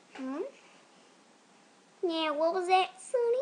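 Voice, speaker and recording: A female-sounding, put-on character voice reaches an extremely high pitch. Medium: voice reel.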